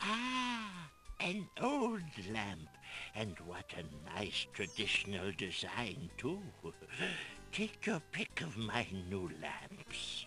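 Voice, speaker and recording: A man speaks very slowly in a put-on character voice, with long, frequent pauses. Music is clearly heard in the background. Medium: video game. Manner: oily, ingratiating.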